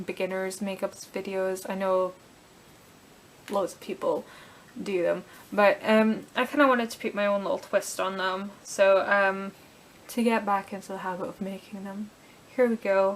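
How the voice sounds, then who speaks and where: A woman's medium-pitched voice, monotone and flat, at a moderate pace, with big swings in loudness and long, frequent pauses. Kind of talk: casual talk to camera, makeup tutorial.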